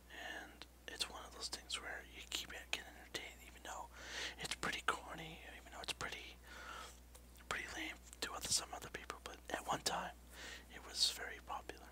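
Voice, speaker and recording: A soft-spoken, whispering man at a fairly quick pace, with big swings in loudness over noticeable background noise. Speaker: vlogger, ASMR channel host. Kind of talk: casual vlog chat. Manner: soft whispered close-mic talk. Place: home room. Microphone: headset.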